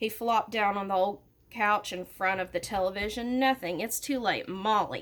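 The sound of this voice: This is an unforced reading voice. It holds that way from start to finish.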